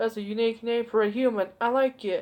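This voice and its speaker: A woman performs a put-on character voice. She delivers it at a fairly quick pace. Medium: read story. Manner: teasing, theatrical, calls her darling.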